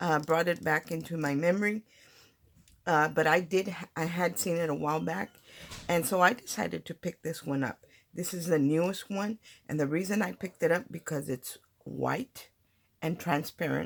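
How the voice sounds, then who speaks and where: A woman's fairly low voice with vocal fry, ordinary pitch variation and a moderate pace. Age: 60s. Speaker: papercraft channel host. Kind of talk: tutorial. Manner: casual, halting with fillers.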